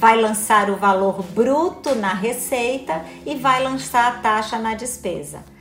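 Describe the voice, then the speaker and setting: A woman's fairly high voice at a very slow pace, with ordinary pitch variation, hardly any pauses, audible room echo and music in the background. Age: 50s. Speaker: electoral court official and instructor. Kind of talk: live stream lecture. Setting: home office live stream. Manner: animated.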